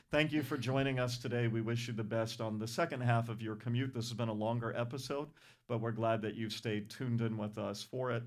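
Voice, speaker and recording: In an ordinary speaking voice, a man with an American accent talks at a fairly quick pace, at medium pitch with fairly even intonation. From Rhode Island, US. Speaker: church podcast host. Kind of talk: casual interview.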